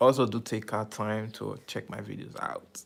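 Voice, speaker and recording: Here a man speaks with an American accent. His voice has vocal fry and a monotone, flat intonation. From Nigeria. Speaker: YouTuber live streamer. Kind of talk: casual live stream chat. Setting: live stream. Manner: casual, uses slang.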